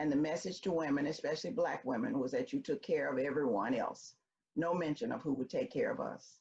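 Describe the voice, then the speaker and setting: A woman talks at a fairly quick pace with a very deep, low pitch. Her voice makes very wide pitch swings. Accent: Memphis. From US South, Memphis, Tennessee. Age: 70s. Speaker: storyteller. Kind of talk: personal storytelling.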